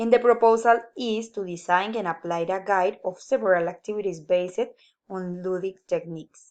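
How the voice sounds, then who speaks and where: Over a quiet background, a woman talks at a moderate pace and medium pitch with ordinary pitch variation. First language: Spanish. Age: 20s. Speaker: university student. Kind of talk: class presentation. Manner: halting.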